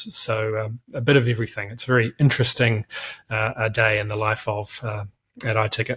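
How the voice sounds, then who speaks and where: With a New Zealand accent, a man at a medium pitch speaks at a fairly quick pace in a monotone with flat intonation, the sound dry and close with no echo. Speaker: company director. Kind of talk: interview. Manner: hesitant, many fillers.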